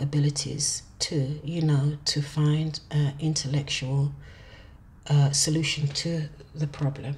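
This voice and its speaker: Soft-spoken, somewhat breathy woman's voice, very deep and low in pitch, at a very slow pace. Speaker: tarot reader. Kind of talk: tarot reading monologue. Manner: hesitant, with fillers; speaking softly.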